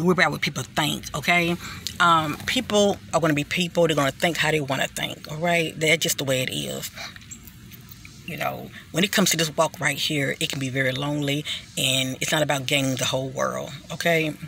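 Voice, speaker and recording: Noticeable background noise sits under a woman's very deep, low voice. She talks at a fairly quick pace with fairly even intonation. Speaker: spiritual vlogger. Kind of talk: casual monologue. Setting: outdoors.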